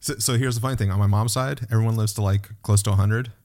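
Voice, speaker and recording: This man talks at a very fast pace in monotone, flat intonation. His fairly low voice is somewhat breathy, with a dark, mellow tone. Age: 40s. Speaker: podcast host. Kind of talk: casual chat. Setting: video call.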